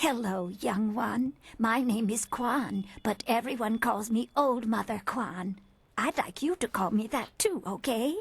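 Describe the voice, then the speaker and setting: Using a put-on character voice, a woman speaks fairly slowly at a fairly high pitch with ordinary pitch variation. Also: very even loudness. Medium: video game. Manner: gentle, rambling.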